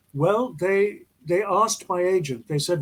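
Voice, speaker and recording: A man with a British accent sounds somewhat breathy and shows ordinary pitch variation. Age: 80s+. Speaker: actor. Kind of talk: interview.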